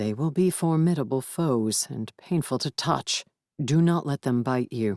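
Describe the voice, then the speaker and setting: A put-on character voice at a low-to-middle pitch is heard in a very clean recording with a silent background. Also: moderate pace. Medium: read story. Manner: formal, grave.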